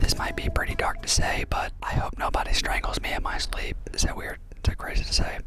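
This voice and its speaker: Speaking at a fairly quick pace, a man is heard with audible room echo. Noticeable background noise runs underneath. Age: 20s. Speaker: travel vlogger. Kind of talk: vlog narration. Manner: whispering at times.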